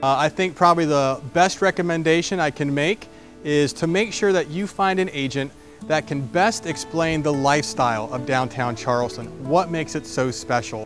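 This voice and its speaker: An American-accented man with lively intonation, recorded dry with no echo, clear music playing behind him. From southwest Florida. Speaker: real estate agent. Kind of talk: promotional pitch. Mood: warm, relaxed, friendly. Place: street. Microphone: lapel.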